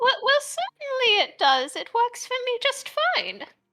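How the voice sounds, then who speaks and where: Putting on a squeaky character voice, a woman speaks at an extremely high pitch with ordinary pitch variation and a moderate pace. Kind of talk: folksy grandmotherly talk. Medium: actual play. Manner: warm, fussy, calls people dear.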